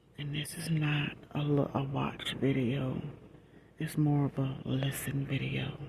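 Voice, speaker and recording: Over noticeable background noise, a soft-spoken woman whispers at a very slow pace. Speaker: ASMR content creator. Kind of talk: casual rambling talk to camera. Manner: soft-spoken, whispering.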